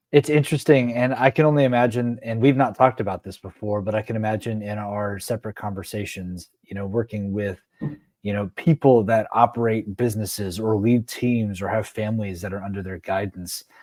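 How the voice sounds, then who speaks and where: With a plain, everyday voice, a man speaks at a fairly quick pace and fairly low pitch, using ordinary pitch variation and big swings in loudness, in a very clean recording with a silent background and a dry, close sound with no echo. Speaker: leadership coach and show host. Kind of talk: interview conversation.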